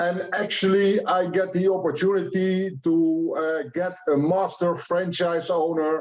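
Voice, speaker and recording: A man speaks at a high pitch. His intonation is fairly even. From Netherlands. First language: Dutch. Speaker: franchise expert. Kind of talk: conference presentation. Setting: online event.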